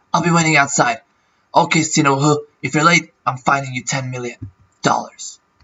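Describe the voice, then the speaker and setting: A man puts on a strained character voice, fairly high-pitched for a man, at a moderate pace with fairly even intonation. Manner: stern, authoritative.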